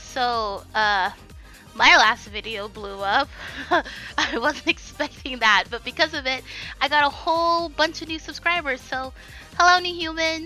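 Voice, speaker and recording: A woman speaks in a raised, projected voice at a high pitch and fairly slow pace. Music plays in the background. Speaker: digital artist. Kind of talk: casual talk to camera.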